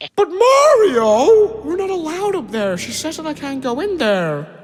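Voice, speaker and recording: A put-on character voice, high-pitched with very wide pitch swings, at a moderate pace. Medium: read story.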